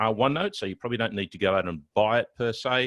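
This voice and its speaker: Recorded dry with no echo against a quiet background, a man is speaking. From Australia, Sydney. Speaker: IT consultant and trainer; guest. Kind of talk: technical tutorial webinar. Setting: video webinar with screen share. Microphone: video call.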